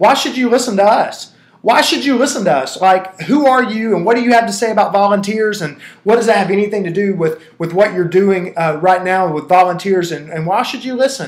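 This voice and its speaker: Talking at a fairly quick pace, a man uses an animated tone, a high pitch and lively intonation. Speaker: founder of a church consulting company, webinar presenter. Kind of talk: webinar presentation. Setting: online webinar. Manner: fast.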